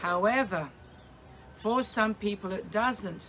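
A woman speaks fairly slowly in an Australian accent over light background noise. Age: 60s. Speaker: vlogger documenting weight loss. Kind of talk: casual vlog monologue. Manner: halting, with many fillers. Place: garden. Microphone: phone near.

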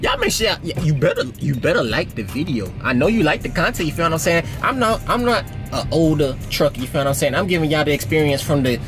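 A man at a very fast pace with hardly any pauses, over clear music in the background. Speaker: truck driver vlogger. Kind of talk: casual vlog chat. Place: car. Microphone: phone near.

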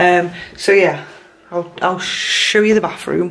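Speaking slowly with a fairly low pitch, a woman is heard against audible room echo.

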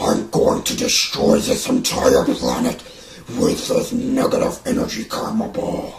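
A man puts on a raspy character voice at an extremely high pitch, with loud background noise behind him. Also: fairly slow pace. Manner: menacing, arrogant.

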